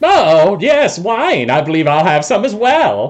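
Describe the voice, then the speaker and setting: Using a put-on character voice, a man speaks fairly slowly at a high pitch, with very wide pitch swings and very even loudness. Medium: actual play. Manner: pompous.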